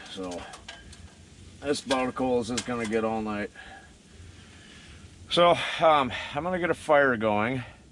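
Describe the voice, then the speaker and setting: A man at a moderate pace, relaxed in tone and lively in intonation, with long, frequent pauses and noticeable background noise. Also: medium pitch for a man. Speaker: outdoorsman / winter camper. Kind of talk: casual talk to camera. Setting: outdoors. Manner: relaxed, hesitant.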